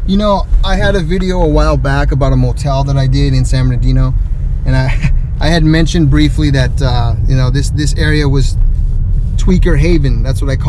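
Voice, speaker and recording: A man speaks at very even loudness. The sound is dry with no echo, and there is noticeable background noise. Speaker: urban explorer vlogger. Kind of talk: casual vlog commentary. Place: car. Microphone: phone near.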